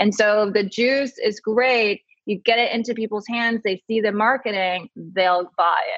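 A woman with an American accent has an unremarkable speaking voice, fairly high in pitch, with fairly even intonation. Her pace is fairly slow, and her loudness swings widely. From came from Taiwan at 3, grew up in US. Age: 30s. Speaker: beauty columnist and fragrance brand founder. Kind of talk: casual interview.

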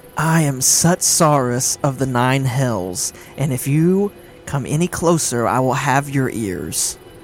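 A raspy, put-on character voice speaks at a low-to-middle pitch and a fairly slow pace. Background noise is clearly audible. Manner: threatening.

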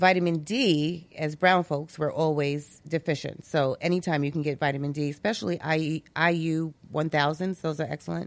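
The speaker has an American accent and a moderate pace. Intonation stays fairly even, with hardly any pauses. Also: woman, very deep, low pitch for a woman. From Brooklyn, New York. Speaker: health business owner. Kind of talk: casual chat.

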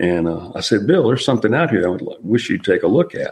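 A man's fairly quick, fairly low-pitched, unremarkable speaking voice. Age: 60s. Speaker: military veteran, UFO witness. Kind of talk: interview testimony.

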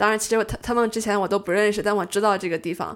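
A woman with a plain, everyday voice, medium in pitch, with fairly even intonation, on a very clean recording over a silent background. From China. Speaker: amateur stage actress, university student. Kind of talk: casual interview chat.

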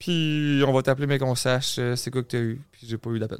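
A man talks in a Quebec accent. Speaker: content creator and podcaster. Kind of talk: casual chat.

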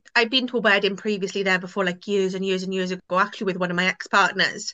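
With a Welsh accent, a woman speaks at a medium pitch in a bright, sharp tone, the sound dry and close with no echo. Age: 20s. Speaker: guest sharing personal story. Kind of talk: interview. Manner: casual with many fillers.

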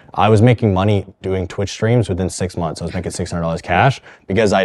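In a Canadian accent, a man with a very deep, low pitch speaks at a very fast pace on a very clean recording with a silent background. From Canada (Thunder Bay, Ontario). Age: 20s. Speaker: fitness and mindset coach. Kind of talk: interview. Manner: animated.

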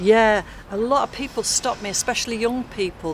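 A woman's fairly high voice at a moderate pace, with fairly even intonation and noticeable background noise. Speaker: dog sitter and carer for her mother. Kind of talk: casual street interview. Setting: outdoors at a tram stop.

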